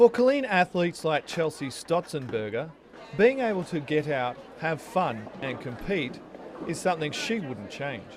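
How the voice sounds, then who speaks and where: With music in the background, a man speaks at a moderate pace, his fairly high pitch moving in very wide swings. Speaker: TV news reporter and anchor. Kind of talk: TV news reporting and anchoring, demo reel.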